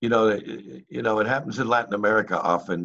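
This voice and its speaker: Against a quiet background, a man speaks at a moderate pace with vocal fry. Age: old. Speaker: open mic host. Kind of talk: open mic hosting. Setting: video call. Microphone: video call.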